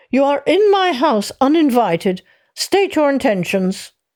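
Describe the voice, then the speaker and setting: Using a put-on character voice, a female-sounding speaker talks at a moderate pace with a high pitch and very wide pitch swings on a very clean recording with a silent background. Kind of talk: haughty, formal. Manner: haughty, commanding.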